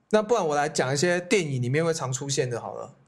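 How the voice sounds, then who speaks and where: A man rattles along at a very fast pace, his pitch varying in an ordinary way. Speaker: youth hostel owner, podcast co-host. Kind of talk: casual chat.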